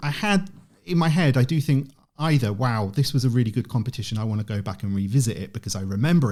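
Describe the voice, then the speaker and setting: A man's dark, mellow, somewhat breathy voice with a British accent and lively intonation at a fairly quick pace, on a very clean recording with a silent background. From UK. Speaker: online event organiser. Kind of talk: podcast interview.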